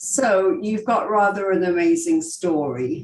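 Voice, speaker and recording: A woman's medium-pitched voice with a slight English accent, very wide pitch swings and a very slow pace. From England. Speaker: podcast host. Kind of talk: podcast interview.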